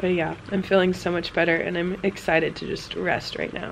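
A woman speaks at a very fast pace. Some light background noise can be heard. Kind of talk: casual vlog chat. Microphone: phone near.

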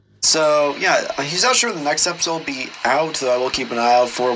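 A man speaks at a very fast pace with ordinary pitch variation. Music plays behind him. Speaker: reaction video host. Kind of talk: casual commentary. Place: home room.

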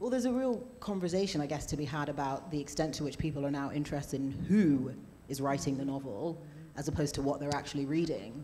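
Over light background noise, a woman with a British accent and a very deep, low voice speaks at a very fast pace with lively intonation. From UK. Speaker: novelist; panel author. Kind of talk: panel discussion. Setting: stage with live audience. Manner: hesitant, many fillers and repeats. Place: stage. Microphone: handheld.

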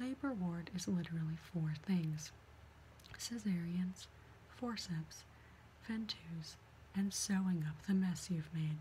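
Soft-spoken and very slow, a woman with a fairly low pitch and ordinary pitch variation leaves long, frequent pauses over light background noise. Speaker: reader of a medical memoir. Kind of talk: reading aloud from a book. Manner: soft, quiet ASMR reading voice. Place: home room. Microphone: webcam.

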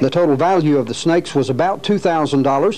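A man with a fairly high voice speaks at a moderate speed, his pitch rising and falling normally as noticeable noise fills the background. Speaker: police lieutenant. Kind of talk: archival crime-tip PSA narration, scripted and read straight. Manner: formal, measured, official tone.

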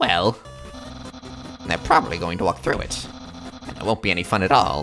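A put-on character voice at a fairly quick pace, with clear music in the background. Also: man, very deep, low pitch for a man. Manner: loud, dramatic, earnest.

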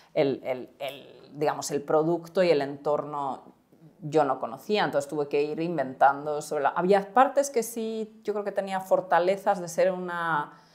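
A woman speaks with a fairly low pitch and lively intonation at a fairly slow pace. The background is quiet. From Spain. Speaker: startup co-founder; guest. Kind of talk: interview. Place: studio. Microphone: lapel.

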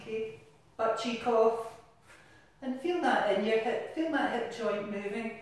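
Strong room echo surrounds a woman who speaks at a fairly slow pace with ordinary pitch variation. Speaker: exercise class instructor. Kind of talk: exercise class instruction. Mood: cheerful, encouraging, playful. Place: bathroom.

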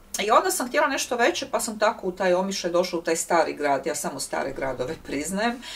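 Talking at a very fast pace with hardly any pauses, a woman swings her pitch very widely. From Zagreb, Croatia; Croatia. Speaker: writer and workshop leader; guest. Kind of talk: public talk interview. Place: home room.

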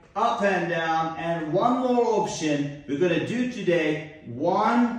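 Strong room echo surrounds a man with a high pitch and ordinary pitch variation. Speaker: fitness instructor. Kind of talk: exercise class instruction. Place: gym.

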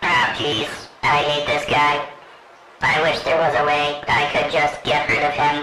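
A put-on character voice speaks at a low-to-middle pitch and a moderate pace. There is clear background noise and a slight echo. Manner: polite, resentful.

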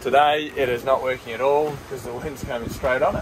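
With ordinary pitch variation and a moderate pace, a man's voice comes through noticeable background noise. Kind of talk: casual vlog chat. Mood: relaxed, pleased. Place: boat. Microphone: phone near.

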